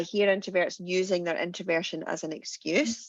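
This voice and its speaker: A woman's medium-pitched voice with a Glasgow accent, at a moderate pace over a quiet background. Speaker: confidence coach and founder. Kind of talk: webinar panel conversation. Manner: intense, gut voice.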